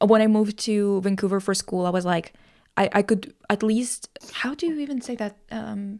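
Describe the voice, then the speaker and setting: A woman with a Russian accent at a moderate pace, medium pitch with ordinary variation, on a very clean recording with a silent background. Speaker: podcast host. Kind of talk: casual chat. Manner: animated.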